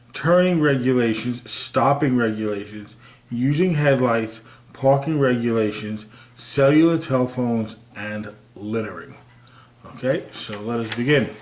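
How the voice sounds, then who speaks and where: Audible room echo surrounds the voice. A man speaks at a medium pitch. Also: ordinary pitch variation. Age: 50s. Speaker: video blogger. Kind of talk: reading aloud with commentary. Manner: halting.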